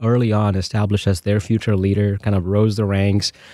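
A man's fairly low, dark, mellow voice at a very fast pace, in a very clean recording with a silent background and a dry, close sound with no echo. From India, Bangalore. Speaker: church missions director. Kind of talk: testimony.

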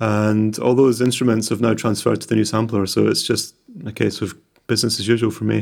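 A man with a Scottish accent, at a fairly quick pace with fairly even intonation. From Scotland, West Lothian near Bathgate. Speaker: music producer. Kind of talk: interview.

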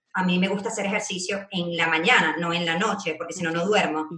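Someone talks at a very fast pace, with audible room echo around the voice. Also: woman. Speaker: Instagram marketing strategist. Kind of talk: casual interview chat. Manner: loud, animated.

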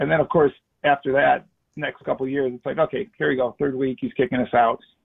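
Speaking at a fairly quick pace, a man with an American accent uses a plain, everyday voice at fairly high pitch. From Chicago. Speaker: former football player. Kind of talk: casual chat.

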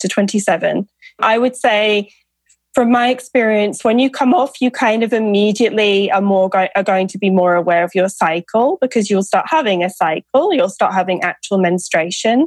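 Her pitch is medium with ordinary variation as this woman talks at a moderate pace. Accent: British. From UK. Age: 30s. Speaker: author and fertility awareness educator. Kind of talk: interview.

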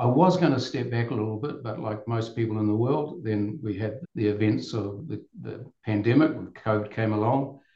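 A man with a New Zealand accent at a moderate pace. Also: medium pitch for a man, ordinary pitch variation. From New Zealand, Auckland. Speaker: tourism business owner. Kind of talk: podcast interview.

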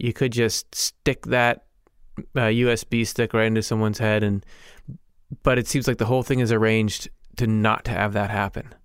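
An American accent at a moderate pace, with long, frequent pauses, very even loudness, and a very clean recording over a silent background. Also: man, medium pitch for a man. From United States. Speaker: podcast co-host. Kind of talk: casual chat. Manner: animated.

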